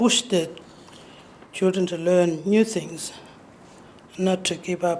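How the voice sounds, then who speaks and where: Over noticeable noise, this woman talks fairly slowly, her intonation fairly even. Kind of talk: lecture. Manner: halting.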